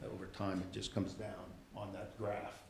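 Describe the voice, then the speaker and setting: The man's fairly quick delivery carries audible echo from the room. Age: 60s. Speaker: school district official. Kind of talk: presentation at city council meeting. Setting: council chamber meeting. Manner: halting, frequent fillers and restarts.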